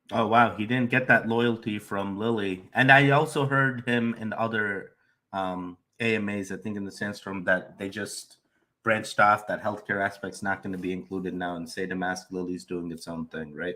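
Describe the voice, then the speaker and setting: A man speaks at a moderate pace in a fairly low pitch with a bright, sharp tone and ordinary pitch variation. His loudness swings widely on a very clean recording with a silent background. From India. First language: not English. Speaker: crypto YouTuber. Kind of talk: casual commentary reacting to a livestream.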